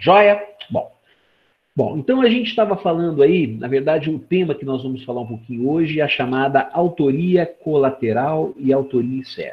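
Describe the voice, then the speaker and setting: A man with a fairly high, somewhat breathy voice speaks at a moderate pace, his intonation lively. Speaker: law professor. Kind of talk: lecture. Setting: video call. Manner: animated.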